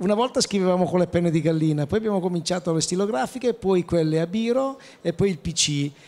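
At a very fast pace and a high pitch, a man speaks with ordinary pitch variation and very even loudness. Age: 50s. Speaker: chef, president of professional cooks' association; panelist. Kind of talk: panel discussion at trade fair. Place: hall. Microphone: handheld.

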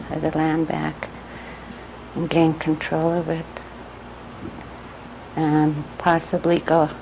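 Over noticeable background noise, a woman speaks at a fairly slow pace. Her voice is very deep and low, in a monotone, flat intonation. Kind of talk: interview answer.

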